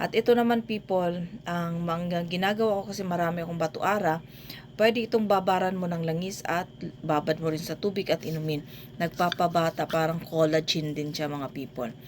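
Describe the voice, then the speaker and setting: At a moderate pace, a woman talks in an ordinary speaking voice, fairly low in pitch, with ordinary pitch variation. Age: middle-aged. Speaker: vlogger and amulet maker. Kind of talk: vlog tutorial.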